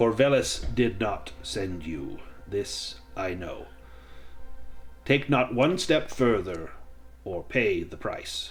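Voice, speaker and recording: A man uses a booming, put-on character voice at a very slow pace. Long, frequent pauses and big swings in loudness come through over clear background noise. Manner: stern, warning.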